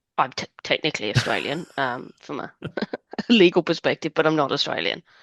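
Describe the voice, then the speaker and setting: The voice has vocal fry. The sound is dry and close, with no echo. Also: woman. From England. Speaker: race competitor, solo sailor. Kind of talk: casual interview.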